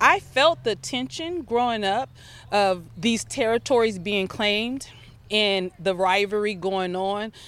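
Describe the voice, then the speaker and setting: A woman speaks at a fairly slow pace with medium pitch and lively intonation. The recording is very clean, with a silent background. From Altadena, California, US. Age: 50s. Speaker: community activist, non-profit co-founder. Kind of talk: interview conversation. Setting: outdoors in a park.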